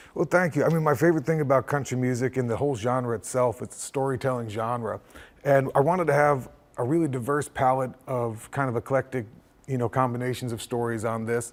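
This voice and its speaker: A man with an American accent, fairly quick and fairly even in intonation. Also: medium pitch for a man. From upstate New York. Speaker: country singer-songwriter. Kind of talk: interview. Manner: mumbling.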